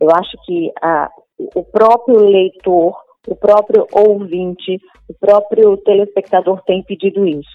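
With fairly even intonation, a woman speaks at a very slow pace and a medium pitch. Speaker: journalist and TV presenter. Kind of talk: interview. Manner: hesitant, many fillers.

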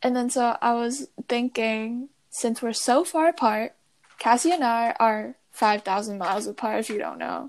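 With an unremarkable speaking voice, a woman speaks at a fairly slow pace, her fairly high pitch showing ordinary variation. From US (moved from Taiwan around age 10). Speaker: podcast co-host, college student. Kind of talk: casual chat. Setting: remote call.

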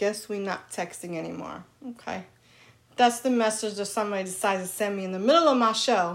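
A woman with an American accent talks at a fairly quick pace in an animated tone, with medium pitch and ordinary pitch variation. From New York. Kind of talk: casual chat.

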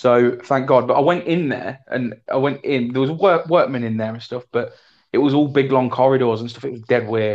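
In an East Midlands accent, a man speaks at a medium pitch and moderate pace, with ordinary pitch variation and big swings in loudness. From Leicester, England. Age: 30s. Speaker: podcast co-host. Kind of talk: casual chat. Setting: video call.

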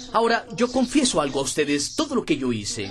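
Amid noticeable background noise, a man speaks with lively intonation. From Brazil, interior of Pernambuco. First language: Portuguese (speaking Spanish). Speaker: network marketing leader. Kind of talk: motivational talk.

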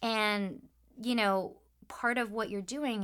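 At a fairly slow pace, a woman with an American accent speaks in a very clean recording with a silent background. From US Midwest, suburban Detroit, Michigan. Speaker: voice actor. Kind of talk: interview conversation. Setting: studio.

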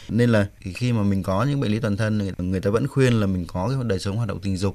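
Moving at a very fast pace, a man speaks in a fairly low pitch with ordinary pitch variation. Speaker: doctor specializing in andrology. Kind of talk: radio call-in medical advice. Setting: radio studio.

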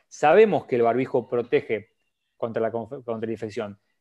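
In a normal speaking voice, a man of medium pitch talks at a moderate pace with ordinary pitch variation against a quiet background. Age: 30s. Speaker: cardiologist. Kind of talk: interview. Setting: live stream.

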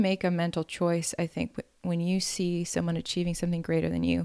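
A woman at a fairly quick pace in a very clean recording, silent background, with a dry, close sound and no echo. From Wisconsin, US Upper Midwest. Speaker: news reporter and singer. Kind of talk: casual interview.

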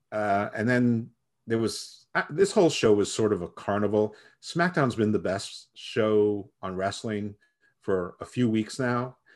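Here is an ordinary speaking voice of a man, moving at a fairly slow pace with ordinary pitch variation. The recording is very clean, with a silent background. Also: medium pitch for a man. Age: middle-aged. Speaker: wrestling podcast co-host. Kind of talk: casual chat. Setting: podcast recording.

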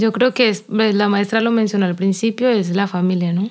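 This woman speaks at a moderate pace with a monotone, flat intonation. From Colombia, Quinamayo, Valle del Cauca. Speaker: folk dancer. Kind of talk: interview.

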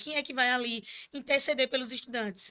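In a raised, projected voice, a woman speaks with high pitch, ordinary pitch variation and a bright, sharp tone. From Pernambuco interior, Brazil (Surubim). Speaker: student union president. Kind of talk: casual interview. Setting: studio, live stream.

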